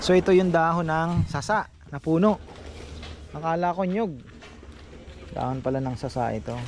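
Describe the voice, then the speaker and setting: Speech moves at a moderate pace with long, frequent pauses over noticeable background noise. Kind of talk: casual vlog narration.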